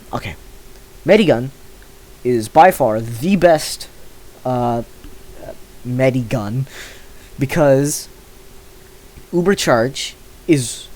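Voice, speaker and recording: A man at medium pitch with lively intonation and long, frequent pauses, against noticeable background noise. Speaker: gaming youtuber. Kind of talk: casual commentary while ranking items. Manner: hesitant, many filler words.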